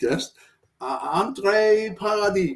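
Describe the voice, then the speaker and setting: A man talks with a non-native accent. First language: not English. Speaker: podcast host. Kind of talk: interview. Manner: halting.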